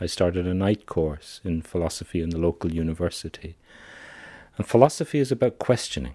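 A man's very deep, low voice with a dark, mellow tone and an Irish accent, lively intonation at a fairly quick pace, dry and close with no echo in a very clean recording with a silent background. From Ireland. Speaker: psychiatrist. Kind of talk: interview.

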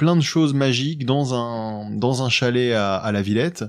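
A man talks at a fairly slow pace in a plain, everyday voice. His medium pitch has ordinary pitch variation, and the background is quiet. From France, Paris suburbs. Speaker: podcast host and amateur magician. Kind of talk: casual interview.

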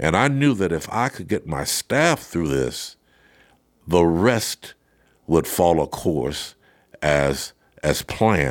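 In a very clean recording with a silent background, a man with an American accent speaks at a very deep, low pitch. He talks at a very slow pace, with very wide pitch swings and long, frequent pauses. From Arkansas, US South. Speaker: retired prison superintendent. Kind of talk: interview testimony.

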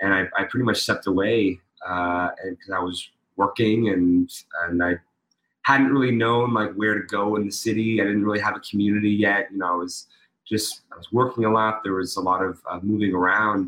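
Speaking at a fairly quick pace, a man with a fairly low pitch has a bright, sharp tone and fairly even intonation. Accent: American. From Pittsburgh, Pennsylvania. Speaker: tap dancer and actor. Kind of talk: casual interview.

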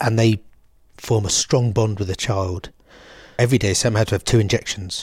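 Somewhat breathy and fairly low in pitch, a man talks at a fairly quick pace with fairly even intonation in a very clean recording with a silent background. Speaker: bereaved father and charity founder. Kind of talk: emotional interview.

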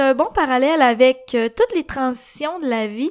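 On a very clean recording with a silent background, a woman with a Quebec accent speaks at a high pitch with lively intonation. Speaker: podcast host. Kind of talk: casual monologue.

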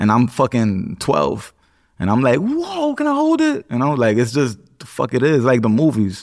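A man speaks at a moderate pace with very even loudness. The recording is very clean, with a silent background. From the Bronx, New York. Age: 30s. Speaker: ex-prisoner and rapper. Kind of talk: interview testimony. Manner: casual, halting.

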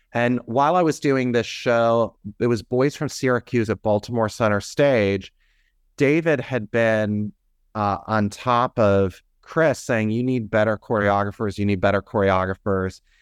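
A man with an American accent and an unremarkable speaking voice talks at a fairly slow pace in a medium pitch, his pitch moving in an ordinary way and his loudness very even, recorded dry and close with no echo against a quiet background. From US Midwest, near Cleveland, Ohio. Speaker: theater artistic director and choreographer. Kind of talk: interview.

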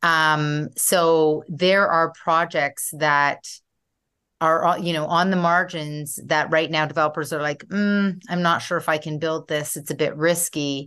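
Over a quiet background, a woman with a very deep, low pitch speaks at a fairly slow pace in a bright, sharp tone, her intonation monotone and flat. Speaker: urban planner and developer. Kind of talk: interview.

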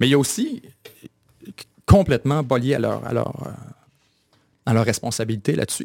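Speaking in a Quebec accent, a man with a medium-pitched voice talks fairly quickly with lively intonation on a very clean recording with a silent background. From Quebec, Bas-Saint-Laurent (Kamouraska). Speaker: media founder. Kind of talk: interview conversation.

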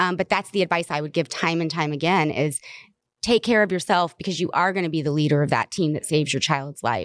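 A woman with an American accent and an unremarkable speaking voice, at a fairly low pitch and fairly quick pace, in a dry, close sound with no echo and a quiet background. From US South. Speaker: cannabis advocate, mother of cancer patient. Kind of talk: interview. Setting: convention center.

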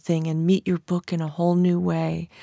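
A woman with a Californian accent speaks at a moderate pace in a monotone, flat delivery, her dark, mellow tone caught in a dry, close recording with no echo, very clean and with a silent background. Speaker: writer and historian. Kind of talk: author interview monologue. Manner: calm.

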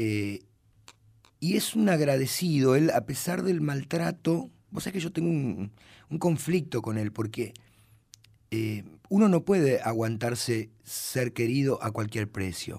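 A man's medium-pitched voice with a dark, mellow tone and very wide pitch swings, at a fairly slow pace broken by long, frequent pauses. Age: 40s. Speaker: actor and comedian. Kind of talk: radio interview.

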